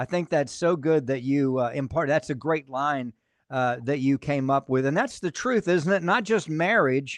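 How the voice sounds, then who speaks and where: Against a quiet background, a man with a fairly high pitch talks at a moderate pace in an unremarkable speaking voice, with ordinary pitch variation and a dry, close sound with no echo. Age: 60s. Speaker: pastor and podcast host. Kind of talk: casual interview chat.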